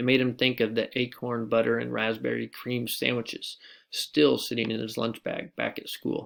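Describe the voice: Someone does plain reading aloud here.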